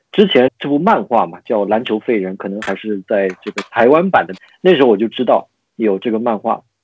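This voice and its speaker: In a dry, close sound with no echo, a man speaks at a fairly quick pace and medium pitch with lively intonation. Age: 30s. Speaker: podcast guest. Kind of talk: casual chat.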